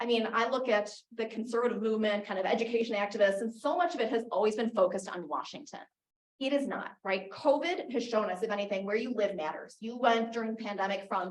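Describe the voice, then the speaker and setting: A woman talks very fast with an American accent at a fairly high pitch. Her pitch varies in an ordinary way, and room echo is audible. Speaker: advocacy group founder and speaker. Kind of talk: conference talk.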